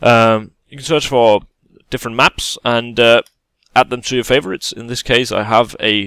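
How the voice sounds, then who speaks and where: A man with a Danish accent speaks at a medium pitch, the sound dry and close with no echo. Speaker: gaming YouTuber. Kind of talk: tutorial. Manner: halting, many fillers.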